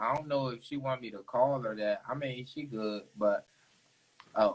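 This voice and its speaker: At a moderate pace, a man with a strong DC accent speaks at a medium pitch with ordinary pitch variation. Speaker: interviewer. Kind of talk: casual chat.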